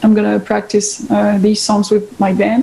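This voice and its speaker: A woman speaks in a French accent. Noticeable background noise runs behind her. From France. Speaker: guitarist. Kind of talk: interview. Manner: halting.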